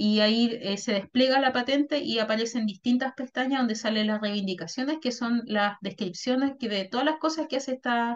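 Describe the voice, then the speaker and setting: A woman talks at a high pitch and a fairly quick pace, keeping her intonation fairly even. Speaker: workshop facilitator, intellectual property consultant. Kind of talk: workshop presentation.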